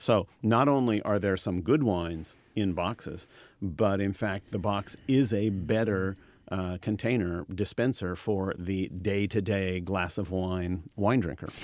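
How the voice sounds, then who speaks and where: A man with a normal speaking voice, fairly low in pitch, with ordinary pitch variation, at a fairly slow pace over a quiet background. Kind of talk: radio DJ patter: playful back-and-forth, then a dry, chatty history segment.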